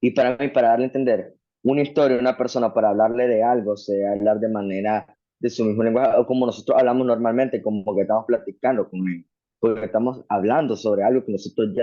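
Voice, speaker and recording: A man speaks with a strong Nicaraguan accent at a very fast pace. His intonation is fairly even. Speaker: Bible student. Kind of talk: class discussion.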